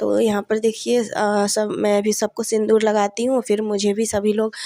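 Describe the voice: A woman speaks at medium pitch in a slightly mellow tone with little pitch movement. Her moderate pace comes through in a dry, close sound with no echo.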